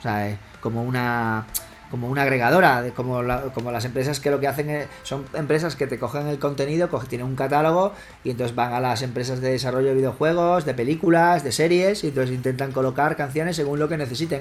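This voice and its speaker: A man rattles along very fast, his pitch varying normally, while noticeable noise sounds in the background. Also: medium pitch for a man. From Spain, Extremadura (Badajoz). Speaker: electronic music producer and DJ. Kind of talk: casual interview.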